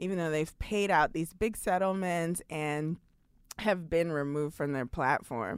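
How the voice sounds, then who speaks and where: A woman with an American accent uses a plain, everyday voice, fairly low in pitch with ordinary pitch variation. She talks at a fairly slow pace in a very clean recording with a silent background. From New York City (Brooklyn). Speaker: comedian and writer. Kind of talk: casual chat.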